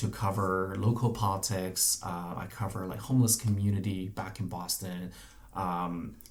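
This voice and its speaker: A male voice with a Chinese accent, fairly low in pitch, with fairly even intonation at a fairly slow pace, plus audible room echo. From mainland China, big city. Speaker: journalist. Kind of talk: casual interview. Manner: hesitant with frequent fillers.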